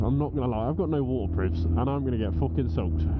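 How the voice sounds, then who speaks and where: A man is speaking. Music plays in the background. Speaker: motorcycle vlogger. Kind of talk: casual vlog chat. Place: motorbike. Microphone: helmet.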